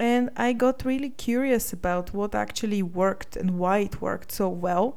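Amid audible room echo, a woman with a Bulgarian accent speaks at a moderate pace in a medium-pitched voice with ordinary pitch variation. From Bulgaria, Sofia. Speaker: podcast host and life coach. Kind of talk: solo podcast monologue.

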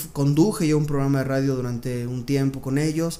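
Audible room echo surrounds the voice. The pace is fairly quick, with ordinary pitch variation. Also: man. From Mexico City. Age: 30s. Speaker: music producer and entrepreneur. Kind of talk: interview. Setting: recording studio.

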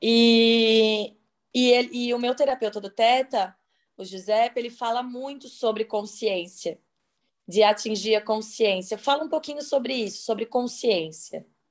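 A woman with a plain, everyday voice speaks fairly slowly at a fairly high pitch. Her pitch variation is ordinary, and the background is quiet. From Santa Catarina, Brazil. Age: 30s. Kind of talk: casual chat. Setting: video call.

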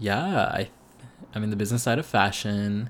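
On a very clean recording with a silent background, a man talks at a moderate pace with a fairly low pitch and fairly even intonation. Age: 20s. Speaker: podcast host. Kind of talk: casual monologue. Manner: hesitant, many fillers.

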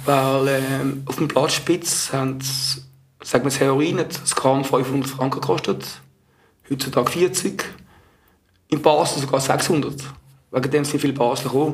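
Speaking fairly slowly with long, frequent pauses, a man uses a fairly high voice and a flat, monotone delivery. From Switzerland, Zurich area. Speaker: former drug user. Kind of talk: testimony. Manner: halting.

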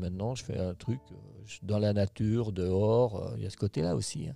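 With ordinary pitch variation, a man talks in a fairly low register. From France, Haute-Savoie. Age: 60s. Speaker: company founder and boss. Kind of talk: interview. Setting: company headquarters. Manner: hesitant, many fillers.

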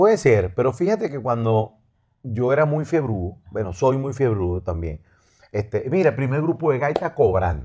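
A man speaks at a moderate pace with a medium pitch and very wide pitch swings. His tone is dark and mellow, somewhat breathy, over a quiet background. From Venezuela, raised Los Teques, life in Maracaibo. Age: 50s. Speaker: musician. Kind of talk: casual chat. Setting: studio.

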